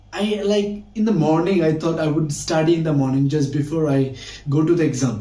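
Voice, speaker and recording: There is noticeable background noise and audible room echo. A man talks at a moderate pace with ordinary pitch variation. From Bangladesh. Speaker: English teacher, university student. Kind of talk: casual vlog-style talk. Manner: halting, with frequent fillers.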